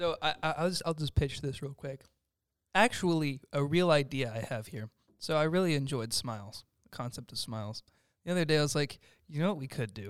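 A man's unremarkable speaking voice, fairly high in pitch, with lively intonation, big swings in loudness, and a fairly quick pace, in a very clean recording with a silent background. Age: young. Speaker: student filmmaker and composer. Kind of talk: casual chat.

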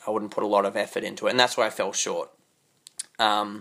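This is a man with an Australian accent. His pitch sits in the medium range. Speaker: podcast host. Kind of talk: solo monologue. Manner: hesitant, many fillers.

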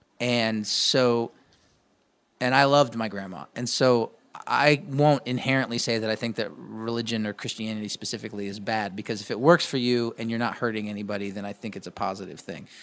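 In a very clean recording with a silent background, a man with an American accent and an unremarkable speaking voice talks at a fairly quick pace with ordinary pitch variation. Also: medium pitch for a man. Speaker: musician and podcast host. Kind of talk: casual interview.

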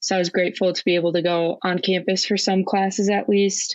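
At a moderate pace, a woman with a Minnesotan accent speaks in a fairly low pitch, her intonation monotone and flat. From Minnesota, Twin Cities suburb. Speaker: college hockey player. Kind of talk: casual interview.

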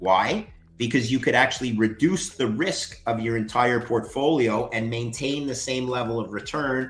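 This man speaks in a Canadian accent with an ordinary speaking voice. His medium pitch shows ordinary variation at a moderate pace. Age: 50s. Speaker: finance expert. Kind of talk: interview.

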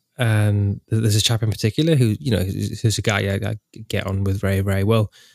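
A man with a fairly low voice speaks fairly quickly with an English accent and fairly even intonation. The very clean recording has a silent background and a dry, close sound with no echo. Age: 30s. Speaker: podcast host, historical re-enactor. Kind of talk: casual chat.

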